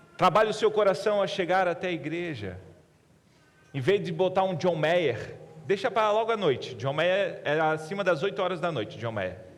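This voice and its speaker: With lively intonation and long, frequent pauses, the speaker keeps a moderate pace amid audible room echo. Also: man. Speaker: pastor. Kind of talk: sermon. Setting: church.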